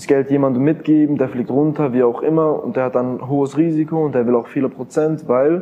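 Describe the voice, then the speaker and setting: A man at a medium pitch talks at a fairly quick pace amid noticeable background noise. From Switzerland, canton of Bern. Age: 20s. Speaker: crypto investor and entrepreneur. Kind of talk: interview.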